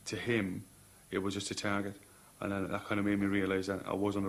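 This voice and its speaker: A man in a Cork accent speaks fairly quickly at a fairly low pitch. His intonation is monotone and flat, and the room echo is audible. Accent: Cork Irish. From Ireland, Cork. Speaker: soldier. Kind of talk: documentary interview. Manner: halting.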